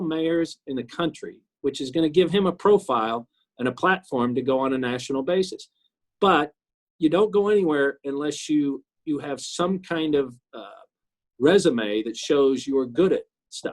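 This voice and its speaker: This man talks with a Midwestern US accent and a lively, bouncing intonation. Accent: US Midwest. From Kansas City, Missouri. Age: 60s. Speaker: city councilman. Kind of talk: interview. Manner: halting, many repetitions.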